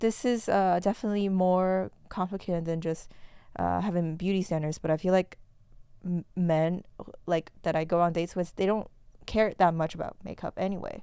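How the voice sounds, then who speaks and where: A woman with a Chinese accent, medium pitch, a dark, mellow tone, fairly even intonation and a moderate pace. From China. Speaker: podcast host. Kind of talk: casual chat. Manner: halting.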